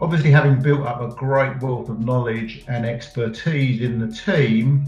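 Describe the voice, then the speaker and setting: Over music in the background, a man at medium pitch talks at a moderate pace with fairly even intonation and audible room echo. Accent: English. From England. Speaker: head of a data consultancy business unit. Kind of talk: interview. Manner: halting, many fillers.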